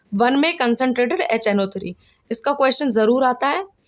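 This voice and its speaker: A woman with a high voice talks rather slowly, her pitch moving in a normal way. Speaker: science teacher. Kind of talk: tutorial.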